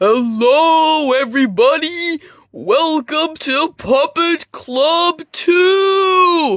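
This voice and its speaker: In a put-on character voice, the speaker uses a high pitch at a very slow pace. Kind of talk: kids' TV host parody. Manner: upbeat, cheesy host.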